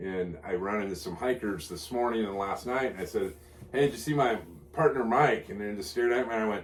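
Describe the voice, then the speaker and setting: A man speaks at a fairly quick pace with a fairly low pitch and lively intonation. Room echo is audible, and background noise is noticeable. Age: 60s. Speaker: long-distance hiker and vlogger. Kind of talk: casual chat.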